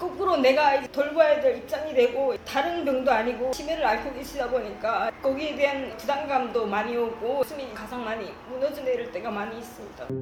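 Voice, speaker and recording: Against noticeable background noise, a woman with a high pitch speaks at a moderate pace with ordinary pitch variation. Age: 40s. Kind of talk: interview answer.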